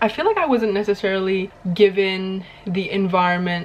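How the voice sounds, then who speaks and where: A woman speaks at medium pitch with fairly even intonation. Noticeable background noise can be heard. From Indonesia. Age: 20s. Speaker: YouTuber. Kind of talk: casual sit-down monologue.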